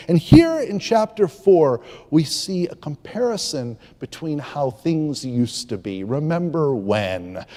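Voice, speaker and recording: Speaking at a fairly slow pace, a man uses an ordinary speaking voice with a fairly high pitch. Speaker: preacher. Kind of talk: sermon delivered to a congregation. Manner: reflective, conversational, with pauses and filler words.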